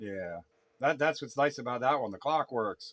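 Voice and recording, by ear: Lively intonation and a fairly bright tone carry the voice at a fairly slow pace. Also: man.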